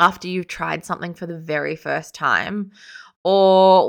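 Woman with an Australian accent, fairly low pitch and monotone, flat intonation, on a very clean recording with a silent background. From Sydney, Australia. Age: 30s. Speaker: podcast host. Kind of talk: solo podcast monologue.

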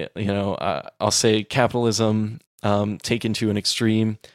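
An ordinary speaking voice from a man with an American accent, fairly low in pitch with fairly even intonation, dry and close with no echo, on a very clean recording with a silent background. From Texas. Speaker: podcast co-host. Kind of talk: casual discussion.

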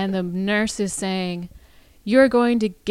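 Ordinary pitch variation carries through some plain reading aloud.

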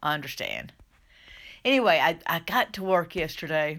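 In a Southern US accent, a woman with a fairly low pitch speaks at a moderate pace with ordinary pitch variation, on a very clean recording with a silent background. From US South. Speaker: minister and life coach. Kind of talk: solo podcast talk. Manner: conversational, hesitant with restarts.

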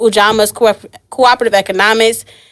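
At a very fast pace, a woman talks with a fairly high pitch and ordinary pitch variation. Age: 20s. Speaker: event curator and business owner. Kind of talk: casual interview.

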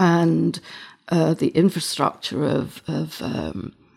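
The speaker is a woman. She has a northern English accent. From northern England. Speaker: photographer. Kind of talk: interview conversation. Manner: halting, repeating words.

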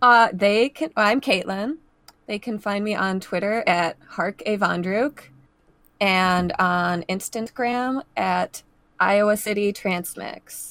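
Her pitch is medium for a woman, with ordinary pitch variation. She speaks at a very slow pace. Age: 20s. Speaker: podcast guest. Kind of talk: casual chat.

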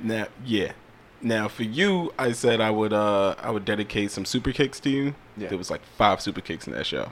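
Speaking at a moderate pace, a man uses an ordinary speaking voice with fairly low pitch and ordinary pitch variation. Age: 30s. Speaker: podcast co-host. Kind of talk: casual chat.

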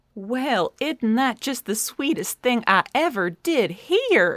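The voice moves at a very slow pace with very wide pitch swings. The sound is dry and close, with no echo. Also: woman. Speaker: cheerful company event coordinator character. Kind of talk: scripted audio drama performance. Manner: sweet, motherly, southern-flavored, chirpy.

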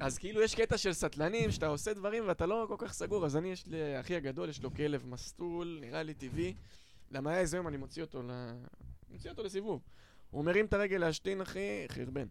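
Lively in intonation and high in pitch, a man rattles along at a very fast pace. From Israel, Holon. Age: 20s. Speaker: stand-up comedian. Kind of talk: casual chat.

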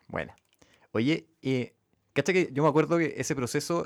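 Delivered at a moderate pace in a Chilean accent, the speech comes through on a very clean recording with a silent background. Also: man. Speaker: podcast host, venture fund director. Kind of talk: casual interview chat.

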